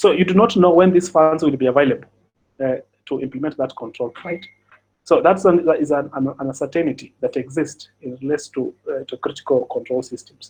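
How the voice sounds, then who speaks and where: Speaking at a fairly quick pace, a man uses a fairly high pitch with ordinary variation. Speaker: cybersecurity audit expert. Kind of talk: webinar presentation. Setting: online webinar. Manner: fast; halting, many fillers and repetitions.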